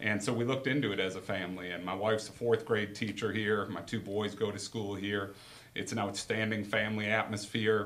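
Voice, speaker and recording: Speaking at a very fast pace, a man with an American accent and a fairly low pitch keeps a monotone, flat intonation amid noticeable background noise and audible room echo. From Wisconsin. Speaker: girls basketball coach. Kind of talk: casual interview.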